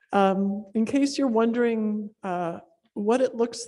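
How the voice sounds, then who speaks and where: Ordinary pitch variation runs through this dark, mellow tone. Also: woman. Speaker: neuroscientist and workshop organizer. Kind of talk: conference talk. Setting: stage with audience. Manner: fast; casual, with many fillers.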